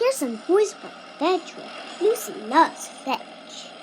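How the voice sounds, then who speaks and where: A woman puts on a cartoonish character voice at an extremely high pitch, with very wide pitch swings. She speaks at a fairly slow pace over clear background noise. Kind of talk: comedy cartoon character dialogue.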